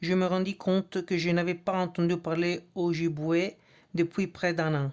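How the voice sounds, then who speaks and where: With a non-native accent, a woman speaks very slowly at a fairly low pitch in a flat monotone. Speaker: reader of a book. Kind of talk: reading aloud. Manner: halting, with restarts and hesitations.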